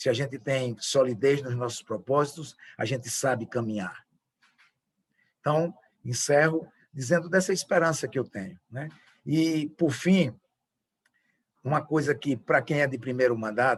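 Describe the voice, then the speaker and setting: The man's voice sits fairly high and sounds somewhat breathy. He moves at a fairly slow pace with ordinary pitch variation. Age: 60s. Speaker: politician. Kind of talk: closing speech. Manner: halting.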